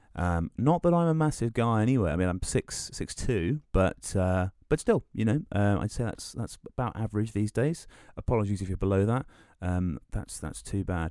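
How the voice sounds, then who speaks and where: A man with a southern English accent talks at a moderate pace in a fairly low, dark, mellow tone with lively intonation. The recording is dry and close with no echo, very clean against a silent background. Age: 20s. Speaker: podcast host. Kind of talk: solo monologue, casual. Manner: halting, many fillers.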